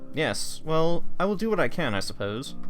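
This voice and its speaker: Putting on a character voice, a man speaks fairly high at a moderate pace over clear background noise. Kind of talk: formal, polite.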